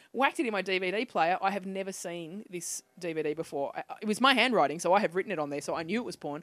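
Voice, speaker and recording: Talking very fast, a woman with an Australian accent uses a medium pitch and lively intonation. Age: 30s. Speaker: comedian. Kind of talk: casual chat. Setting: studio. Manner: animated.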